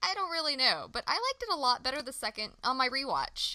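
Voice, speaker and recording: A woman speaks fairly quickly in a raised, projected voice, her high pitch carrying a bright, sharp tone. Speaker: podcast co-host. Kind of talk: casual chat. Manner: talkative.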